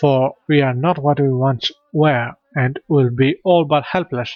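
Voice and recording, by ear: Natural-voiced reading aloud over a quiet background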